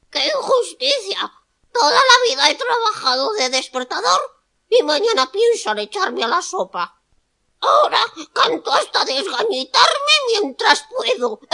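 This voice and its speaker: A put-on character voice at an extremely high pitch moves at a moderate pace. Its pitch swings very widely. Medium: read story. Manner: outraged, loud.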